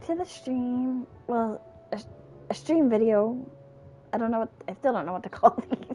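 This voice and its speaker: Speaking quietly with high pitch and lively intonation, a woman leaves long, frequent pauses. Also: moderate pace. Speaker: gaming streamer. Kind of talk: let's play commentary. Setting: at home, late night. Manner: quiet, keeping voice down; casual with fillers.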